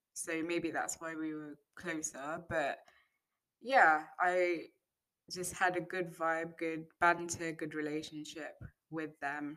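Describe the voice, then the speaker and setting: With a British accent, a woman speaks at a very slow pace. Her pitch is fairly low and her intonation fairly even. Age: 20s. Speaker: podcaster, wig maker. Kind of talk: solo monologue, casual reflection. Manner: unscripted, hesitant with fillers.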